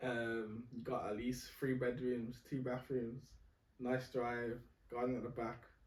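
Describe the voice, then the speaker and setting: A man's medium-pitched voice in a Birmingham accent, fairly slow, monotone and flat, at very even loudness, with audible room echo. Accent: Birmingham (Brummie). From Birmingham, England. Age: 20s. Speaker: civil engineer. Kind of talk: casual chat.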